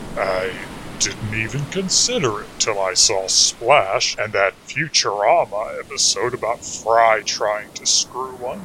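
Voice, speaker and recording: A man speaks at a very slow pace with lively intonation. Noticeable background noise can be heard. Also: medium pitch for a man. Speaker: comedy music podcast host. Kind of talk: comedic monologue. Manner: loud.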